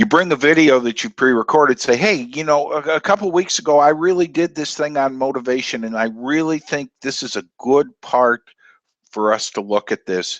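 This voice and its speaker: In a dry, close sound with no echo and a quiet background, a man with an ordinary speaking voice and fairly high pitch talks at a moderate pace with lively intonation. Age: 60s. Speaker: presentation coach. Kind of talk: tutorial. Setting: live online video broadcast.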